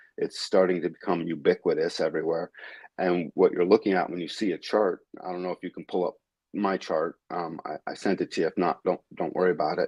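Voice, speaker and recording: The speaker is a man with a New England accent. He talks at a fairly quick pace. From New England, Westfield, Massachusetts. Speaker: human design teacher. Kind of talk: interview on a live stream. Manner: halting, many fillers and restarts.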